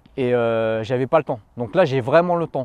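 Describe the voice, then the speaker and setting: A man's dark, mellow tone in a dry, close sound with no echo against a quiet background. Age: 30s. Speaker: fitness coach and youtuber. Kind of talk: casual Q&A monologue to camera.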